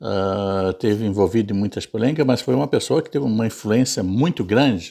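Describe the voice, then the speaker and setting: Over a silent background on a very clean recording, a man with a fairly low pitch and a dark, mellow tone talks at a fairly quick pace with lively intonation and hardly any pauses. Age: 70s. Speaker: YouTuber. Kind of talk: casual monologue. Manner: halting, many fillers and repetitions.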